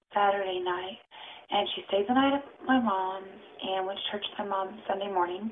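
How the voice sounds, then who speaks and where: Soft-spoken, this speaker talks at a moderate pace with fairly even intonation. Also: woman, medium pitch for a woman. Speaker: vlogger and mother. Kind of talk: casual vlog. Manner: quiet, soft-spoken. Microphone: too quiet.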